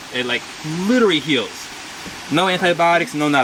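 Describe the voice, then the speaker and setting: A man speaks at a fairly quick pace in an animated tone. Noticeable background noise runs underneath. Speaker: herbalist and chef teaching a workshop. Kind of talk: live demonstration workshop. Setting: outdoors with small audience. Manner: fast.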